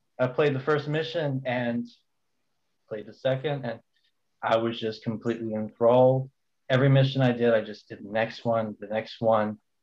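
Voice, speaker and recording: Speaking at medium pitch and a moderate pace, a man keeps his intonation fairly even while his loudness swings widely and long pauses come often. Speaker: community admin and podcast co-host. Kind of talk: casual chat.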